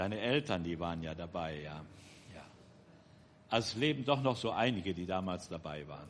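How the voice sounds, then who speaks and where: With audible room echo, a man with a very deep, low pitch talks at a fairly quick pace, using lively intonation, big swings in loudness and long, frequent pauses. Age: 60s. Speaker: church member, twin brother of the preacher. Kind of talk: church announcement.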